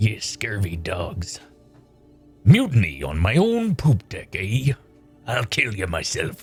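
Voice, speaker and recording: In a put-on character voice, a man speaks fairly slowly at a medium pitch, with long, frequent pauses. Faint music plays in the background. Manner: gruff, angry.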